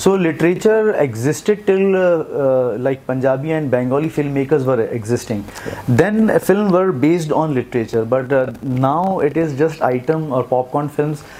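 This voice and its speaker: A man with a North Indian accent talks at a moderate pace with hardly any pauses. His fairly high voice carries lively intonation. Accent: Indian English, Hindi belt. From India, Jabalpur, Madhya Pradesh; Madhya Pradesh, India. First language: Hindi. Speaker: film director and author; guest. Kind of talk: interview. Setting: event interview at a literature festival. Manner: halting. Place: studio. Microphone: lapel.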